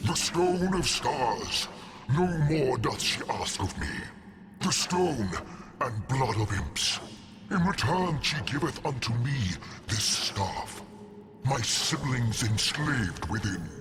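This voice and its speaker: A man's put-on character voice at medium pitch, fairly slow with long, frequent pauses and very even loudness, against clear background noise. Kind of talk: archaic theatrical villain speech. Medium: video game. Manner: grandiose, scornful.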